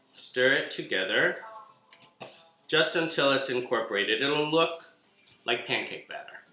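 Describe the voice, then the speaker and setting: A man's voice with ordinary pitch variation and long, frequent pauses, music in the background and audible room echo. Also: fairly high pitch for a man, moderate pace. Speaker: cooking show host. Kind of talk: cooking tutorial.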